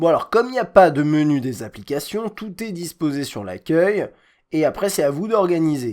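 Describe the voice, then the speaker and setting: This man's high pitch moves with lively intonation at a moderate pace. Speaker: tech reviewer. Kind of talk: product review. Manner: casual, hesitant.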